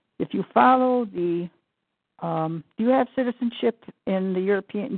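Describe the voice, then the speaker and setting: A woman with an ordinary speaking voice, medium pitch and lively intonation. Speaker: caller. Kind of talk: group conference call. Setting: phone call.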